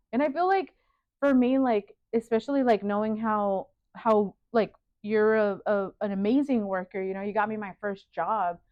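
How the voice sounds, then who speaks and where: Neither fast nor slow, the delivery keeps a moderate tempo. Ups and downs in pitch are ordinary. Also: woman, fairly high pitch for a woman. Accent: Spanish. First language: Spanish. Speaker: sewing studio owner and designer. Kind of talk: casual interview chat. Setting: sewing studio.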